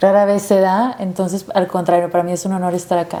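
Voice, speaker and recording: A woman speaks at a fairly quick pace in a medium pitch with a slight Monterrey accent, her intonation monotone and flat, over noticeable background noise. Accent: slight Monterrey (regio). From Monterrey, Mexico (San Pedro). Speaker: activist and producer. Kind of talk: interview.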